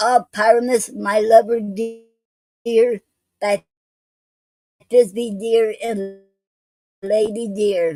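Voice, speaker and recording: Using a squeaky put-on character voice, a woman speaks at fairly high pitch. Her pace is very slow, with long, frequent pauses. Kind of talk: mock-poetic, theatrical.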